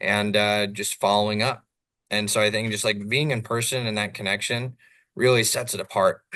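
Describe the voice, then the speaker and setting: A loud man with an American accent talks at a moderate pace with a bright, sharp tone, fairly low pitch and flat, monotone intonation against a quiet background. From Southern California. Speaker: real estate developer. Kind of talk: podcast interview.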